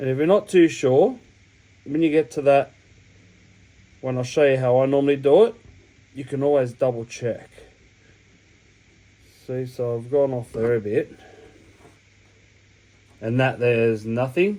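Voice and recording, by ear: A man talks at a fairly slow pace with long, frequent pauses, his medium-pitched voice dark and mellow in tone, with ordinary pitch variation.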